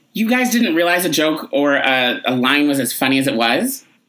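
Here a man speaks with an American accent at a moderate pace. His pitch swings very widely. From upstate New York. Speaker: podcast host. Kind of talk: interview.

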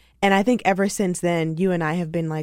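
On a very clean recording with a silent background, a woman with an unremarkable speaking voice talks at a fairly low pitch with fairly even intonation. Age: 20s. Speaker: podcast host and author. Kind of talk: casual chat. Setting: studio.

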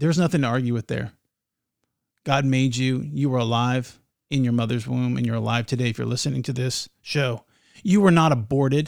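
A man with a plain, everyday voice, fairly quick pace, and ordinary pitch variation, on a very clean recording with a silent background. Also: medium pitch for a man. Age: 40s. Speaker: podcast host. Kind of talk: casual chat.

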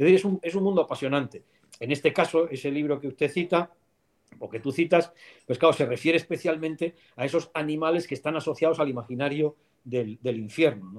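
At a fairly quick pace, an ordinary speaking voice shows ordinary pitch variation and big swings in loudness. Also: man, fairly high pitch for a man. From Spain, León. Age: 50s. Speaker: philosophy professor. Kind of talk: interview.

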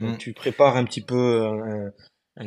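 This man speaks at a medium pitch. His intonation stays monotone and flat. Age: 20s. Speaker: adaptive CrossFit athlete. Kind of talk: interview.

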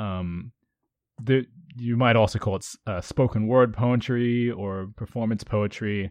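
Over a quiet background, a man with an ordinary speaking voice and fairly low pitch talks at a fairly slow pace with fairly even intonation in a dry, close sound with no echo. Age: 20s. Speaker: slam poet and podcast co-host. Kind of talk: casual chat.

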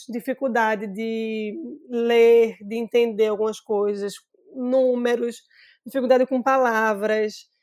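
Speaking fairly slowly with fairly even intonation, a woman has a high-pitched yet dark, mellow tone in a very clean recording with a silent background. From Brazil, Recife (Pernambuco). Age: 30s. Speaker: tech startup founder. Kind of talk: interview conversation.

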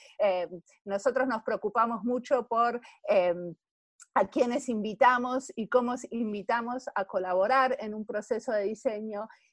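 With an Argentine accent, a woman speaks at a fairly slow pace and a fairly high pitch. Her sound is dry and close, with no echo. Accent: Argentine Spanish (Rioplatense). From Argentina. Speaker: service designer. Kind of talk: interview.

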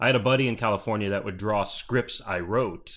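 A man with an American accent and a plain, everyday voice, at a fairly quick pace with fairly even intonation. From Arizona (Peoria, Phoenix area). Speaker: comic book creator and late-night talk show host. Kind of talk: casual interview.

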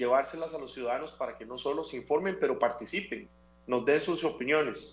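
The speaker talks at a moderate pace. It is a normal speaking voice. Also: man. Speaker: civic foundation representative. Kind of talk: interview.

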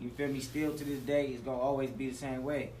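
Someone with an American accent speaks at a fairly quick pace over noticeable background noise. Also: man. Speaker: rapper. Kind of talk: casual interview.

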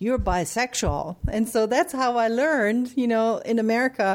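A woman with a German accent speaks at a moderate pace on a very clean recording with a silent background. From Germany. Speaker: psychologist and academic journal editor. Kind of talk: interview.

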